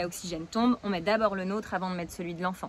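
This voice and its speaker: A woman speaks very fast at a medium pitch. Her intonation stays flat and monotone. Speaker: parenting coach. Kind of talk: video tutorial. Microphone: new camera.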